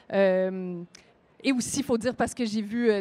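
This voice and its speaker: The speaker is a woman with a fairly high pitch. Her pitch variation is ordinary. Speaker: author. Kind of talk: panel discussion. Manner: hesitant, many fillers.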